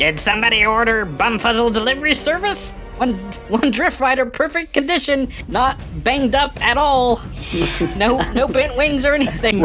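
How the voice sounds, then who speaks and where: Over loud music in the background, a put-on character voice at a fairly high pitch moves along at a moderate pace. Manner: friendly, cheerful.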